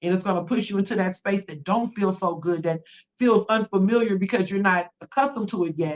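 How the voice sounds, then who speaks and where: The speaker has an American accent and an animated tone. The pace is very fast, with ordinary pitch variation. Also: woman. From California, Bay Area. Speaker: spiritual livestreamer and tarot reader. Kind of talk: live tarot reading and spiritual talk. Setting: livestream.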